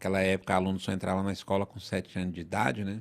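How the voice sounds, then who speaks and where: A man with a very deep, low pitch in a very clean recording with a silent background. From northern Brazil, southern Pará. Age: 50s. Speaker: lawyer. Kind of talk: podcast interview.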